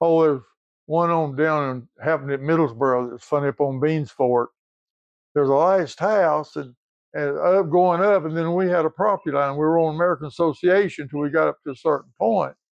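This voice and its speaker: At a fairly quick pace, the speaker talks with an Appalachian accent. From Appalachia, southeast Kentucky. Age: 80s+. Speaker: retired coal field worker. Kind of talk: storytelling.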